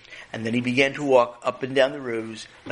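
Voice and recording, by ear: With fairly even intonation, this is reading aloud in a natural voice.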